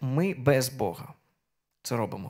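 At a fairly slow pace, a man speaks with a medium pitch and ordinary pitch variation over a quiet background. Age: 30s. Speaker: preacher. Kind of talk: sermon. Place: church. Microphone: handheld.

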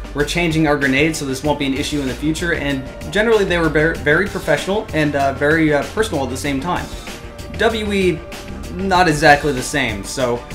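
Clear music plays in the background as a man speaks at a fairly quick pace with ordinary pitch variation. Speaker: airsoft hobby reviewer. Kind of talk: casual vlog chat. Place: home room. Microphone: camera far.

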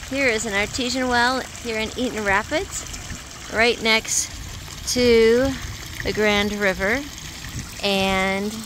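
The speech moves at a very slow pace with long, frequent pauses. The sound is dry with no echo, though background noise is noticeable. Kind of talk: casual vlog chat. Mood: cheerful, uplifting. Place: waterside. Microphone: phone near.

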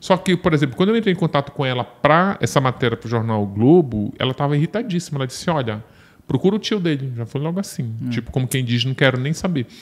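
This man's pitch is fairly high, and his intonation is lively. He talks at a very fast pace. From Brazil, Belém do Pará; Pará, Brazil. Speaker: journalist and true-crime author; journalist. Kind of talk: casual chat. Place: studio. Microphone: studio mic.

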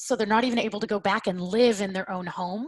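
Against a quiet background, a woman speaks with an American accent and fairly even intonation in a dry sound with no echo. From US South (Oklahoma). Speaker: researcher and advocate; panelist. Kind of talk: webinar panel talk. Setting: video call. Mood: earnest, informative. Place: home room. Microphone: video call.

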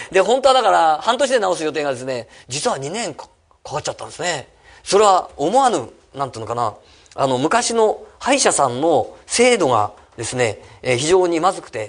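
Against a quiet background, a man speaks at a moderate pace in a high pitch. His pitch swings very widely and his loudness shifts in big swings. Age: 50s. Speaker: real estate company head and seminar speaker; speaker. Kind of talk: seminar talk. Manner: many fillers, halting. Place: meeting room. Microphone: podium.

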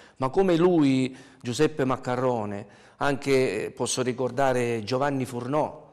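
Very slow speech with ordinary pitch variation against a quiet background. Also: man. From Sicily, Adrano; Sicily. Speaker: ski club president; interview guest. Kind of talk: TV interview. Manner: halting, many fillers and repetitions. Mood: cheerful, anecdotal. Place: studio.

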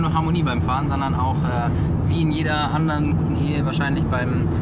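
A man at a very fast pace amid loud background noise. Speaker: family travel vlogger. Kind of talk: casual vlog chat. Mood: cheerful, joking. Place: car. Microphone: phone near.

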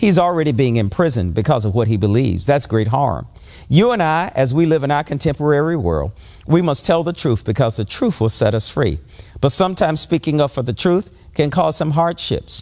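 Against noticeable background noise, a man with a fairly high, warm voice talks at a fairly quick pace, his pitch swinging very widely. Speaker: pastor. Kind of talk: sermon. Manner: earnest, warm, exhortative preacher's cadence.

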